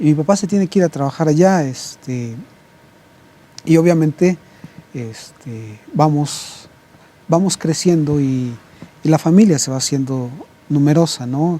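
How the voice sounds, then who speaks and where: Over noticeable background noise, a man with a fairly high pitch speaks at a fairly slow pace. He takes long, frequent pauses, and his pitch varies in an ordinary way. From Mexico, Puebla. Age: 50s. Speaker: pastor. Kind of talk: interview. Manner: halting, many fillers and repetitions.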